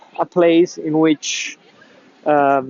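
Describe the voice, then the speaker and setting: A man speaks in a high voice at a very slow pace. There is noticeable background noise. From Italy. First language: Italian. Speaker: pipe tobacco YouTuber. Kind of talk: travel vlog. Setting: outdoors in city. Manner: halting, many fillers.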